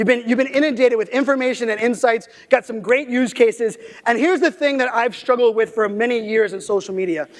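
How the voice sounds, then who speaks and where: Loud and energetic, a man talks at a very fast pace in an extremely high pitch with ordinary pitch variation. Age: 30s. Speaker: keynote speaker on digital marketing. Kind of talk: keynote speech. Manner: loud, energetic.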